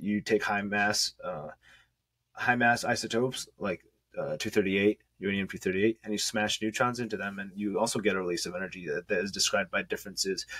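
A man has an ordinary speaking voice, a fairly low pitch and fairly even intonation. He talks at a fairly quick pace against a quiet background. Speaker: remote podcast guest. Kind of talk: interview answer, explanatory. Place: home room.

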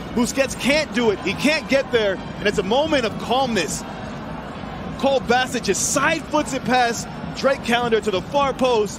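Noticeable background noise sits behind this man's voice. He speaks at an extremely high pitch and a moderate pace, with ordinary pitch variation. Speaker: football analyst co-commentator. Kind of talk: co-commentator analysis during live match. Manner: measured, conversational analyst, calmer than play-by-play voice.

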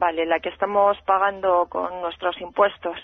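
At a fairly slow pace, a woman with a fairly low pitch speaks in a monotone, flat way, the sound dry with no echo and the background quiet. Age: 40s. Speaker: radio caller. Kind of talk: call-in opinion. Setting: phone call. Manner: impassioned. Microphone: phone line.

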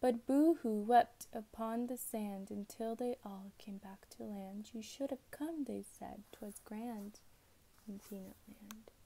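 A soft-spoken woman whispers. She goes at a fairly slow pace. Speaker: ASMR creator. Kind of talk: ASMR bedtime story reading. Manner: soft-spoken, whispered. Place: home room. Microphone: earbuds.

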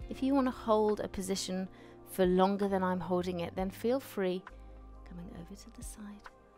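Faint music plays behind a woman who speaks at a moderate pace with fairly even intonation and big swings in loudness. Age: 40s. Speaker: personal trainer, fitness instructor. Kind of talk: guided mindfulness and stretching session. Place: studio. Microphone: headset.

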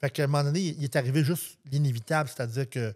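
A man speaks with ordinary pitch variation and a somewhat breathy voice. The recording is very clean, with a silent background. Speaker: singer-songwriter. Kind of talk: casual interview.

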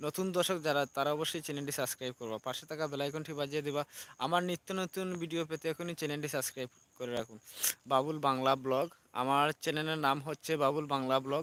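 An unremarkable speaking voice from a man, fairly high in pitch with fairly even intonation, in a dry, close sound with no echo. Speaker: village vlogger. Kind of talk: live stream vlog. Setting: outdoors. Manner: repetitive.

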